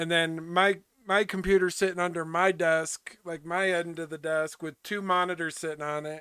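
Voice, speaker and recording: With a bright, sharp tone and high pitch, a man talks at a moderate pace with fairly even intonation. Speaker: gaming streamer. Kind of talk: casual chat. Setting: home office. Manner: loud.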